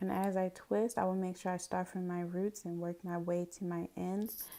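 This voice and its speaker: A woman talks at a moderate pace with fairly low pitch and a dark, mellow tone. Her intonation is fairly even. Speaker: hair vlogger. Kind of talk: hair tutorial talk to camera. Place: bathroom. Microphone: phone near.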